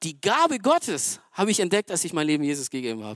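An animated tone at a very fast pace, in a very clean recording with a silent background. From Romania. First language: Romanian (speaking German). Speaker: lay preacher. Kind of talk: sermon. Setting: church stage with audience.

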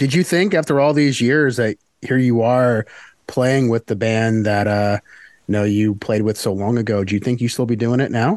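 Over a quiet background, a man in a normal speaking voice talks at a medium pitch and moderate pace, with ordinary pitch variation, very even loudness and a dry, close sound with no echo. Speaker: podcast host. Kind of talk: interview.

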